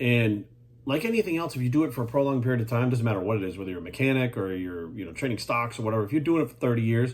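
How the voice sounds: A man talks at a very fast pace. His pitch is medium and his intonation lively.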